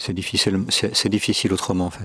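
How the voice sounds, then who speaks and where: A man talks at a moderate pace in a very deep, low voice with monotone, flat intonation. The sound is dry and close with no echo, though there is noticeable background noise. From Switzerland, Geneva. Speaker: podcast guest on spirituality. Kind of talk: reflective interview. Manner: hesitant, many fillers.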